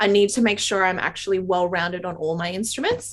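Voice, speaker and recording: Against a quiet background, a woman with a strong Australian accent talks at a fairly quick pace. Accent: Australian, very obvious. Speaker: classical saxophonist and educator. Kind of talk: interview Q&A.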